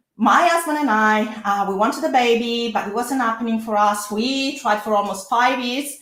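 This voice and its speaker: A woman's fairly high, bright, sharp voice with audible room echo. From Italy. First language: Italian. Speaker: lawyer. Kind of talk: webinar presentation. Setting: live online workshop. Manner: frequent hesitations.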